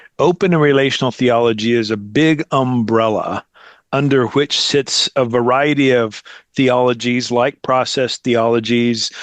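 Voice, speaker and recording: An unremarkable speaking voice: a man with an American accent, medium pitch, fairly even intonation and moderate pace. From United States. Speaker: theologian and seminary program director. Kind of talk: casual interview conversation.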